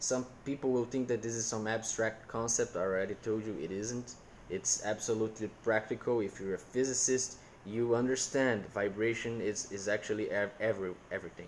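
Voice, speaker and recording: Someone with a Portuguese accent speaks at a fairly quick pace with fairly even intonation. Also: man, medium pitch for a man. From Brazil. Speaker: content creator. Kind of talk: casual chat. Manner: halting, with repetitions.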